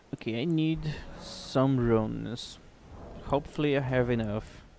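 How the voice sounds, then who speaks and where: Audible room echo carries this voice, which moves at a fairly slow pace with fairly even intonation. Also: man, medium pitch for a man. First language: not English. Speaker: video game streamer. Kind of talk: live gameplay stream chat.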